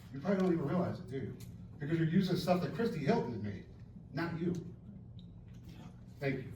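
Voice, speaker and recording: Loud and very fast, a man with a high voice and an American accent talks with lively intonation and long, frequent pauses, with audible room echo around him. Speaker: member of the public at public comment. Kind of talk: heated debate. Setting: township board meeting. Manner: halting.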